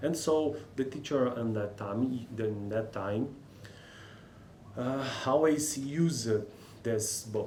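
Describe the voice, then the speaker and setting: With a Portuguese accent, a man speaks with ordinary pitch variation amid audible room echo. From Brazil. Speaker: linguistics student and educational youtuber. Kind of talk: casual vlog talk about a language textbook. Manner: halting, many fillers and repetitions.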